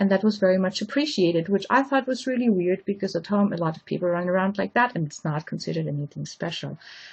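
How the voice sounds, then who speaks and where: Speaking in a German accent at a very fast pace with hardly any pauses, a woman uses a medium pitch, lively intonation and a somewhat breathy sound against a quiet background. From Austria. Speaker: lecturer. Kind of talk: lecture.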